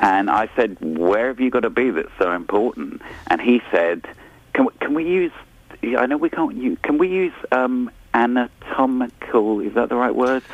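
Over noticeable background noise, a man with a medium pitch talks at a moderate pace, his voice swinging very widely in pitch and broken by long, frequent pauses. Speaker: radio presenter. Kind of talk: casual chat.

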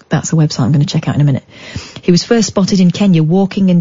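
Noticeable background noise sits behind a woman with a fairly low pitch. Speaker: late night radio host. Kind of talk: late night phone-in radio. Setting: radio studio. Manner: animated.

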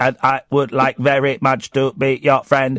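This man uses a put-on character voice at medium pitch. His pace is moderate. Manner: stilted, synthetic.

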